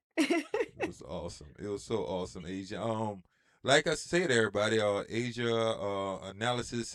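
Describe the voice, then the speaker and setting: A man's medium-pitched voice in a Louisiana accent at a moderate pace. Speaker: podcast co-host. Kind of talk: casual chat.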